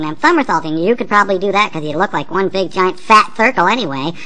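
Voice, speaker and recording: A cartoonish character voice, female-sounding and at a medium pitch, races along at a very fast pace over noticeable background noise. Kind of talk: comic overacting. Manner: mocking, sing-song, bratty.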